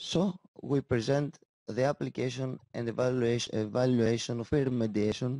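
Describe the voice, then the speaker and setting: A man with a Greek accent speaks at medium pitch and a moderate pace. His intonation is fairly even, and the sound is dry and close with no echo. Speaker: school teacher. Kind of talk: conference presentation. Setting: conference session. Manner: halting.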